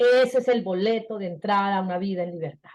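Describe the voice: A woman at a fairly quick pace, her tone slightly mellow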